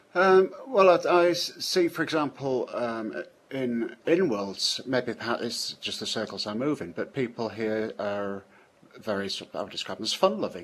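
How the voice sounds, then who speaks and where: With a British accent, a man talks at a moderate pace, his pitch swinging very widely. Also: medium pitch for a man. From Britain. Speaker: software programmer, scripter. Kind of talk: interview. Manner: hesitant, many fillers and restarts.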